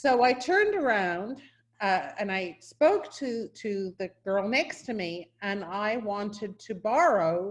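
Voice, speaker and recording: A woman's medium-pitched voice at a very slow pace, with a slight New Zealand accent and lively intonation. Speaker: university professor or dean. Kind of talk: welcome address. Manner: hesitant, with restarts.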